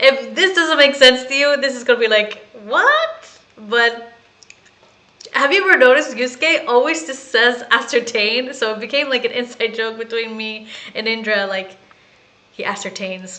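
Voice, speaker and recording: Speaking at a moderate pace with an American accent, a woman with a high pitch and ordinary pitch variation makes big swings in loudness over noticeable background noise. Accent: people say she has an American. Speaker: gaming streamer. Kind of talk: casual gameplay commentary.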